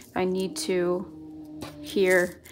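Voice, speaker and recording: There is music in the background. A woman speaks at a medium pitch. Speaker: planner hobby youtuber. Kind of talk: crafting tutorial, casual talk to viewers. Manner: loud, may seem shouting.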